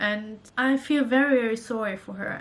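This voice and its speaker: A woman speaks with a German accent and fairly even intonation. Noticeable background noise can be heard. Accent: German accent in her Norwegian. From Germany. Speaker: vlogger. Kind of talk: casual vlog talk to camera. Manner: halting, with restarts.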